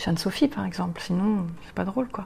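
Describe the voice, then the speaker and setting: Speaking at a moderate pace, a woman has a normal speaking voice with a fairly low pitch. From Normandy, France. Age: 40s. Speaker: blogger and graphic designer. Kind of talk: interview. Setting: bar.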